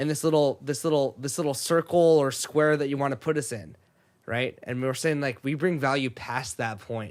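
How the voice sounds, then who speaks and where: An unremarkable speaking voice, this man's has a fairly high pitch, ordinary pitch variation and an American accent at a moderate pace. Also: very clean recording, silent background. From Sacramento, California (raised partly in Japan until fourth grade). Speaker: podcast host. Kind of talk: casual chat.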